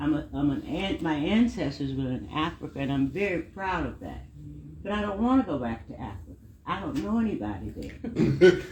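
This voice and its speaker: An American accent at a moderate pace over noticeable background noise. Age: 70s. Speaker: civil rights veteran. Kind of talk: panel discussion.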